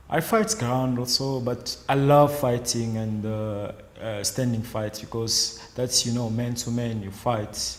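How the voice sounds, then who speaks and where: This man talks at a fairly slow pace with hardly any pauses, his pitch medium. His intonation is fairly even, and there is noticeable background noise. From DR Congo. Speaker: judo athlete. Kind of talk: interview answers. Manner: halting, many fillers.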